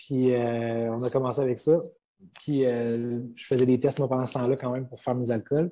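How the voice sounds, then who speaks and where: A man's dark, mellow voice at a moderate pace, flat and monotone in intonation. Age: 20s. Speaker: distillery co-owner. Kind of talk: interview. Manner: halting.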